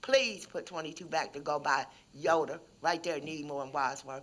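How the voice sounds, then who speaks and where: A woman with a fairly low pitch, an unremarkable speaking voice, and a moderate pace. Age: 60s. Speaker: factory worker, public commenter. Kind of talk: public comment at board meeting. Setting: public board meeting.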